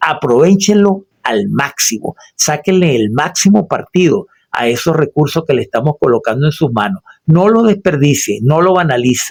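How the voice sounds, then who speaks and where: A dry, close sound with no echo, carrying very wide pitch swings. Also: man, fairly high pitch for a man, moderate pace. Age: 60s. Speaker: radio host and political commentator. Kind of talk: solo radio commentary. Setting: radio studio booth. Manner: formal.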